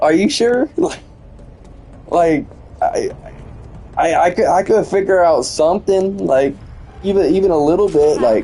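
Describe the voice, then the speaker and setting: Music plays in the background while the speaker moves at a fairly slow pace. Long pauses come often. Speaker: gaming streamer. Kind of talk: casual live-stream chat. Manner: stuttering, repeats words; animated.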